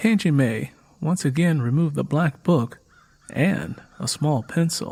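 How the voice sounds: A man's slightly mellow tone with a slightly husky edge, ordinary pitch variation and a fairly slow pace. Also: fairly high pitch for a man.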